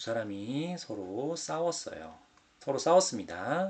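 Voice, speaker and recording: Here a man talks very slowly. The pitch of his voice swings very widely. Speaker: Korean language teacher. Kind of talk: exam explanation lesson. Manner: slow, clear.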